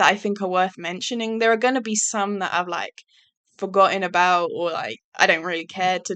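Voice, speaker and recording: This is a woman speaking. She has an English accent. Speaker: YouTuber. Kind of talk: casual monologue. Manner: monotone; hesitant, many fillers.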